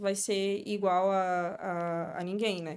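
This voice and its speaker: A woman speaks with a strong northeastern Brazilian accent. The recording is very clean, with a silent background. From Brazil, Northeast (Sergipe). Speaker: beauty entrepreneur and mentor. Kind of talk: podcast interview.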